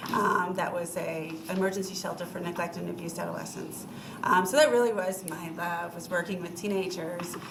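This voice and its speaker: A woman at fairly low pitch and a fairly quick pace, with fairly even intonation, audible room echo and noticeable background noise. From New England. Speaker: lawyer, former prosecutor, job candidate. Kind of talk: interview before city council. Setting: city council meeting. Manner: many filler ums.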